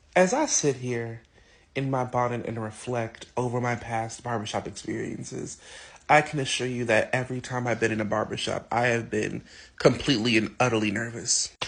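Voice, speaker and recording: A man's somewhat breathy, medium-pitched voice with fairly even intonation, at a moderate pace against a quiet background. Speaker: interviewee sharing LGBTQ experiences. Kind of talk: interview testimony.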